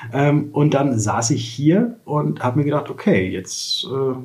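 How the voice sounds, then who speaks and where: At a very slow pace, a man talks with lively intonation and a medium pitch. His voice is somewhat breathy. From Lower Saxony, Germany (Wolfenbüttel). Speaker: insurance broker. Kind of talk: interview conversation. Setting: office.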